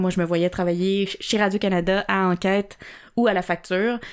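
A woman speaks in a Quebec accent at a fairly low pitch, with monotone, flat intonation. The recording is very clean, with a silent background. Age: 20s. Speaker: entrepreneur. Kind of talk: interview.

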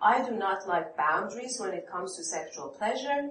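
A woman's voice in a Persian accent, with very wide pitch swings. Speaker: psychoanalyst and author. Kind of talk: author talk with audience Q&A. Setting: stage with audience.

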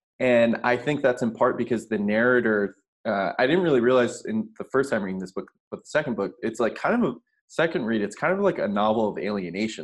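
A man's unremarkable speaking voice, medium in pitch, at a fairly quick pace. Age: 30s. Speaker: podcast host, bookseller. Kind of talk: scripted outro; interview.

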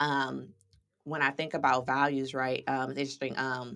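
With an American accent, a woman speaks at a very deep, low pitch. Her pace is moderate, and the recording is very clean with a silent background. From US Midwest, St. Louis, Missouri. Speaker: stylist and social media strategist. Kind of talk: casual interview.

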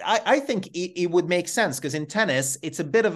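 Lively intonation marks this man's Hungarian accent. He keeps a moderate pace against a quiet background. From Hungary. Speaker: podcast host. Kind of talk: interview chat.

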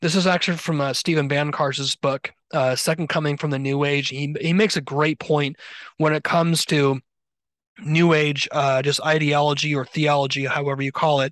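A man with a plain, everyday voice talks at a fairly quick pace in a fairly high pitch, his intonation fairly even and the sound dry and close with no echo over a quiet background. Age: 40s. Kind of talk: casual interview conversation.

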